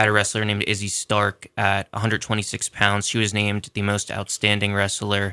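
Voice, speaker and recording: A man with an American accent, fairly low pitch and a bright, sharp tone, monotone, flat intonation at a moderate pace, on a very clean recording with a silent background and a dry, close sound with no echo. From Philadelphia area. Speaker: sports editor. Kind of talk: radio interview.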